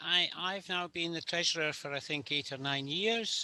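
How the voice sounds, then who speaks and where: With a Scottish accent, a man talks at a fairly slow pace in a bright, sharp tone, the sound dry and close with no echo. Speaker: charity treasurer. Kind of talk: online meeting introduction. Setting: video call.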